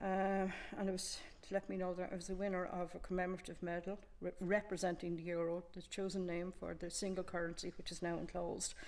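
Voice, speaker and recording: Speaking very fast in an Irish accent, a woman keeps a medium pitch and a monotone, flat intonation. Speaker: community museum contributor. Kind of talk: casual show-and-tell chat. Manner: halting.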